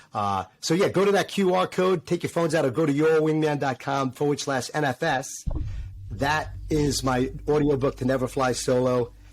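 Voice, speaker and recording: With a New York accent, this man talks at a fairly high pitch and very even loudness, captured in a very clean recording with a silent background. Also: ordinary pitch variation, moderate pace. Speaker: former fighter pilot turned motivational speaker. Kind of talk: interview. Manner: filler-heavy with repetitions.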